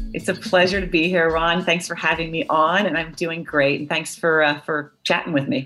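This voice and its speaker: A woman with an American accent speaks at a moderate pace, her pitch fairly low and her intonation fairly even. She barely pauses, and music plays in the background. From Philadelphia suburbs. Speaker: orthopedic surgeon. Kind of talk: interview. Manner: halting.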